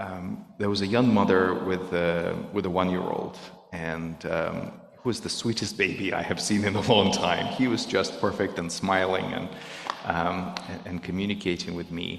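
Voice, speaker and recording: Someone with a Russian accent speaks at a moderate pace in a monotone, flat intonation. Noticeable background noise and audible room echo fill the recording. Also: man, very deep, low pitch for a man. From Belarus. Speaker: volunteer speaking at a synagogue. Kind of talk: talk to a congregation. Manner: halting.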